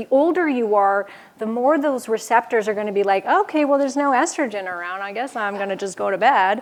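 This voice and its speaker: A woman speaks in a normal speaking voice, fairly high-pitched and fairly quick, with lively intonation. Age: 40s. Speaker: health speaker on women's hormones. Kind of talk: conference talk Q&A with audience. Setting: stage with audience.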